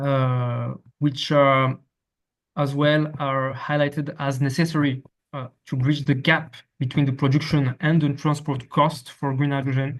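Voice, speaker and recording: A man speaks at fairly high pitch. His intonation is monotone and flat. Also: fairly slow pace. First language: French. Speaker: academic researcher presenting. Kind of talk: academic presentation. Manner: halting, many fillers and repetitions.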